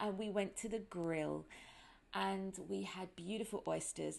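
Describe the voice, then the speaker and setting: In a strong British accent, a woman speaks at a moderate pace. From London, England. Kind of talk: casual podcast monologue. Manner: chatty.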